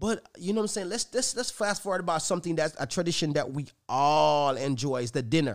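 Very fast and with hardly any pauses, a man with a fairly high pitch speaks in an animated tone with very wide pitch swings, on a very clean recording with a silent background. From Jamaica. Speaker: podcast host. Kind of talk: casual chat.

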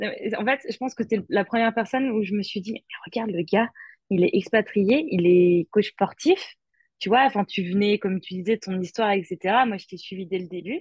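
A somewhat breathy woman's voice at medium pitch, with ordinary pitch variation and a moderate pace, dry and close with no echo, over a quiet background. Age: 20s. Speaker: expatriate. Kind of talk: interview.

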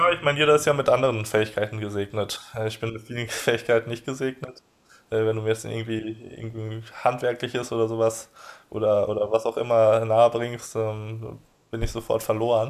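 A man with a medium pitch talks at a fairly quick pace, keeping his intonation fairly even. Long pauses come often between his words. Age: 20s. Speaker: blogger and online entrepreneur on emigration and offshore business. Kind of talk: podcast interview. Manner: hesitant with many fillers.

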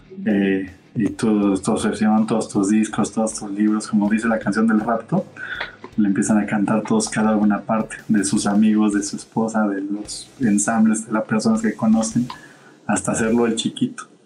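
A man talks in a fairly low, monotone voice with flat intonation at a moderate pace. Noticeable background noise runs underneath. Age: 30s. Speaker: theatre producer. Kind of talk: casual interview. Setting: live stream.

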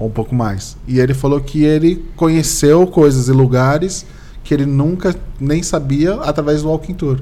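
A man's fairly high yet dark and mellow voice moves at a moderate pace with ordinary pitch variation, with audible room echo around it. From Brazil, São Vicente (São Paulo coast). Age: 40s. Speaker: municipal communications secretary and podcast host. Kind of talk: casual interview chat.

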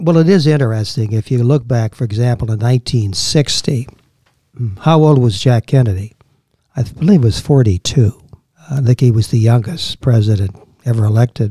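A man with an American accent speaks at a moderate pace in a medium-pitched, dark, mellow, somewhat breathy voice with ordinary pitch variation, the sound dry and close with no echo. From Washington DC area, Maryland. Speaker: historian. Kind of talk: interview.

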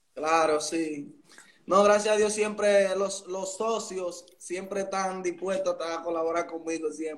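Over noticeable background noise, a man with a high pitch talks at a fairly slow pace with fairly even intonation. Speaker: musician. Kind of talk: casual interview.

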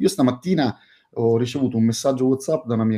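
A man's plain, everyday voice of medium pitch, with ordinary pitch variation. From Sicily, Catania. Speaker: hotel management consultant. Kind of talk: casual professional discussion.

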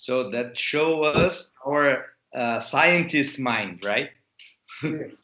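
Speaking very slowly with long, frequent pauses, a man with a Portuguese accent uses a fairly high pitch and ordinary pitch variation. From Brazil. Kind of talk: interview.

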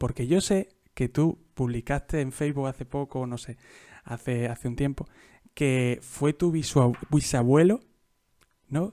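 On a very clean recording with a silent background and a dry, close sound with no echo, a man at a fairly high pitch speaks in a dark, mellow tone at a fairly slow pace with ordinary pitch variation. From Andalusia, Jaén. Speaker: podcast host. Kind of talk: casual interview.

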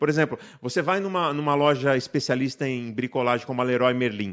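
Against a quiet background, the words come fairly quickly. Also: man. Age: 50s. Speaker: paint industry technician. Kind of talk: interview on live podcast.

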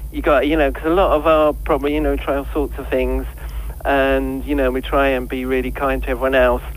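Fairly quick male speech against noticeable background noise. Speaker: vegan chef. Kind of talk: phone interview.

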